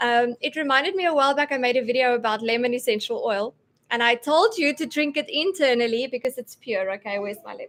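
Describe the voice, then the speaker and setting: A woman speaks at a very fast pace in a high pitch, with ordinary pitch variation. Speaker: homeschooling mom sharing essential oil tips. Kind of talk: live stream talk. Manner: animated.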